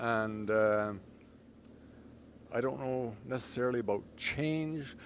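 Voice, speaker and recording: The man's voice sits at a medium pitch with ordinary variation. He speaks at a fairly slow pace. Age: 60s. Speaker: toy run organizer. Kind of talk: interview.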